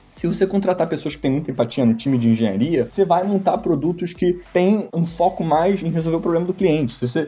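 A man talking fairly quickly with lively intonation over noticeable background noise. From Brazil, Rio de Janeiro and Madrid. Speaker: tech startup founder. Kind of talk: interview.

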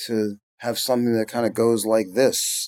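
A man's plain, everyday voice at a medium pitch and moderate pace, with an American accent. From US Northeast (Philadelphia, New York). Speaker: record mixer and engineer. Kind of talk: interview conversation.

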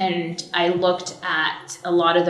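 A woman with a fairly low pitch speaks with an American accent over noticeable background noise. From US West Coast, Orange County, California. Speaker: entertainment attorney. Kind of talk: interview.

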